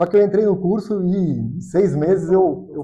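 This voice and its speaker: This man speaks with a high pitch. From Brazil, Piracicaba (São Paulo state interior). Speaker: economist, financial consultant. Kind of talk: podcast interview.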